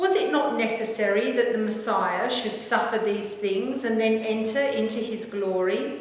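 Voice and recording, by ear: Strong room echo surrounds a woman speaking at a moderate pace and fairly high pitch. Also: ordinary pitch variation.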